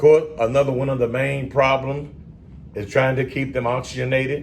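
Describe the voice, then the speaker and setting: A man is speaking. His pitch is medium and his pace moderate. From Southern US. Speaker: respiratory therapy exam tutor. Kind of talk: educational lecture at whiteboard. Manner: casual, energetic.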